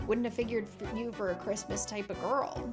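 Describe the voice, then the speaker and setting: A female-sounding voice delivers a put-on character voice at a fairly quick pace over clear music in the background. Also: medium pitch for a woman. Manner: welcoming, cheery hostess.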